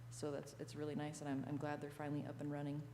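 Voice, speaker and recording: The speaker is a woman. Her voice carries audible room echo. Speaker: parks and recreation director. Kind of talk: board meeting report. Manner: loud.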